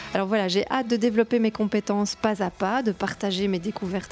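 A woman speaks with fairly even intonation. Her pitch sits in the medium range. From Belgium. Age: 30s. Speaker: podcast host and blogger. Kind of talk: solo podcast monologue. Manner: hesitant, with fillers and repetitions.

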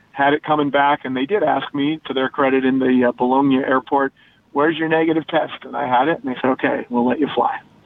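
Noticeable background noise sits behind a man talking at a very fast pace. His pitch is fairly high and his intonation fairly even. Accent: American. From Denver area, Colorado. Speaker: automotive journalist. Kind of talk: casual radio chat.

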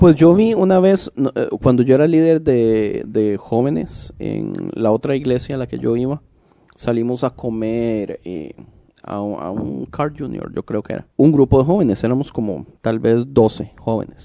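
With a Costa Rican accent, a man speaks fairly slowly at medium pitch, his tone dark and mellow and his intonation lively. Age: 30s. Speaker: podcast co-host. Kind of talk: casual chat.

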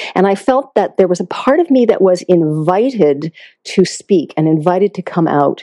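With an American accent, a woman speaks at a moderate pace in an ordinary speaking voice, medium in pitch, with lively intonation. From Massachusetts, US. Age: 60s. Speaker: intuitive healer and counselor. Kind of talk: interview.

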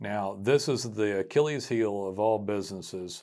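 An unremarkable speaking voice moves at a moderate pace with fairly even intonation over a very clean recording with a silent background. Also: man. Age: 40s. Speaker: podcast host and marketing business owner for roofers. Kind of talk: solo podcast monologue.

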